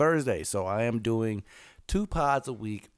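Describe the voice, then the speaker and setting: A man's fairly low voice moves at a moderate pace with lively intonation, on a very clean recording with a silent background. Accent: Southern US. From Los Angeles. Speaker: podcast host. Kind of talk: casual chat.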